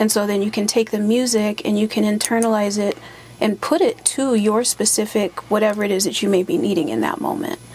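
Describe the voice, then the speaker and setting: The speaker talks at a fairly quick pace, keeping a very even loudness and ordinary pitch variation. Noticeable background noise sits behind the voice. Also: woman, fairly high pitch for a woman. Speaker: singer and spoken word artist. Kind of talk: interview answer.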